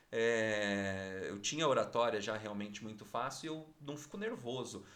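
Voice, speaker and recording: This man has a Curitiba accent and a medium pitch. He talks at a fairly slow pace with ordinary pitch variation. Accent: Curitiba accent, kept on air. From Curitiba, southern Brazil. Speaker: TV news anchor and journalist. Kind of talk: casual interview chat. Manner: calm, clear articulation.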